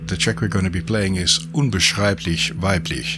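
Noticeable background noise sits behind a man who speaks at a fairly quick pace. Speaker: podcast co-host. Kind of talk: radio dj patter: upbeat welcome-back intro, then easy banter about the tracks. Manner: bright, polished, enthusiastic presenter delivery.

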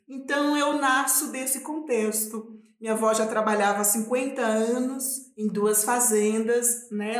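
In a room with audible echo, a woman speaks fairly slowly in a fairly high voice with ordinary pitch variation. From Minas Gerais, Brazil (rural north, raised in Belo Horizonte). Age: 40s. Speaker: quilombola activist. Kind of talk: casual interview conversation.

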